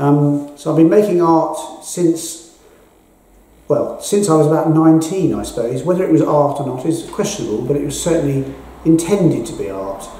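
A man with a London accent speaks at a moderate pace with a fairly high pitch and ordinary pitch variation. Audible room echo surrounds his voice. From England, North London. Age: 60s. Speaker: artist. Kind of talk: interview monologue about his art exhibition. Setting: at the gallery exhibition. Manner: halting, with frequent ums. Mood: calm, reflective. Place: hall.

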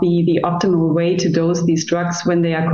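A woman with a fairly low pitch speaks amid audible room echo. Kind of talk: interview answer. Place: office. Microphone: video call.

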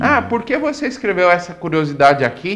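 The speaker is a man. He keeps a moderate pace. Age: 30s. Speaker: author; interviewee. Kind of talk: TV interview. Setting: studio. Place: studio. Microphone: lapel.

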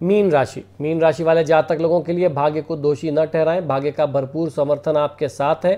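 A man's dark, mellow voice comes through against a quiet background. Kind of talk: daily horoscope and remedies talk. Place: home room.

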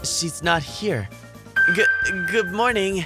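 A woman uses a cartoonish character voice with a fairly low pitch, a bright, sharp tone, and lively intonation. She speaks at a slow pace over faint music in the background.

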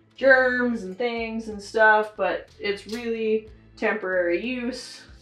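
Faint music plays behind a woman speaking with ordinary pitch variation, and audible room echo is present. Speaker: vlogger showing kitchen tips. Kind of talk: casual tutorial. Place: kitchen. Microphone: camera far.

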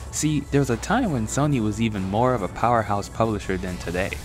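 Music plays in the background as a man talks at a fairly quick pace. His pitch is fairly low and his intonation is lively. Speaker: retro gaming video essayist. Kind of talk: video essay narration.

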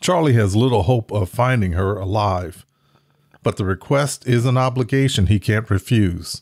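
A man with a plain, everyday voice speaks at a moderate pace and a fairly low pitch with ordinary variation. The sound is dry and close, with no echo. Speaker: video host and book promoter. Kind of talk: reading aloud a noir book blurb. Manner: measured and formal.

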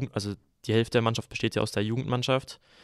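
A man's medium-pitched voice, dry and close with no echo, in a very clean recording over a silent background. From Germany, southern Hesse (Groß-Umstadt). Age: young. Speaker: handball player. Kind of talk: casual chat.

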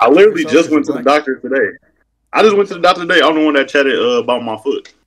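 Speaking very fast with an American accent, a man uses lively intonation. His pitch is fairly high, and there is light background noise. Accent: country-sounding speech. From Wisconsin, by way of North Carolina. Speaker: caller on a livestream. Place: home room. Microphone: video call.

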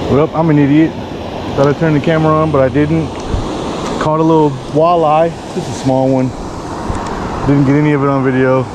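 Fairly quick speech in a dry sound with no echo, with noticeable background noise. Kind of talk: casual vlog chat. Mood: surprised, then self-mocking. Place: waterside. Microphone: phone near.

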